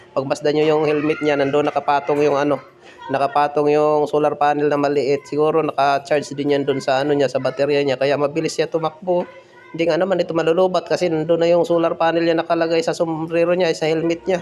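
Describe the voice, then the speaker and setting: Words come at a very fast pace with very even loudness, over noticeable background noise. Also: man. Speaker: vlogger. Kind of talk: live vlog commentary. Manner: animated.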